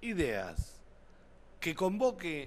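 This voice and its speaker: Lively intonation runs through the man's speech. He speaks at a very slow pace. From Argentina, Buenos Aires province. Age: 50s. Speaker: city council candidate, union member, train driver; council candidate. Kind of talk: TV interview. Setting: TV studio. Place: studio. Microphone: podium.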